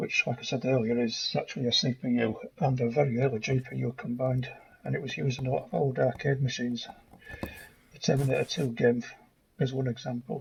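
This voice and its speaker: A man talks very fast with noticeable background noise behind him. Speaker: electronics hobbyist. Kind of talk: casual narration over teardown footage. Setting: home workshop, processed audio.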